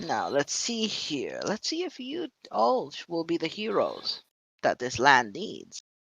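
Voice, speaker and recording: Cackling in a put-on character voice, a man speaks high-pitched at a fairly slow pace. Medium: actual play. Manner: slow, musing, cackling.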